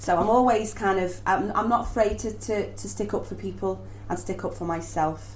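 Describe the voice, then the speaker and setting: A woman speaks in a Liverpool accent with audible room echo. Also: moderate pace. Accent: Scouse. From Liverpool, northern England. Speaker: stage actress. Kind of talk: casual interview chat. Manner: halting, many repetitions.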